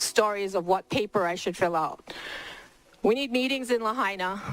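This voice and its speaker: Music in the background behind a woman with a fairly high pitch, ordinary pitch variation and a moderate pace. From Hawaii, Maui. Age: 60s. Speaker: fire survivor. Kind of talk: public testimony.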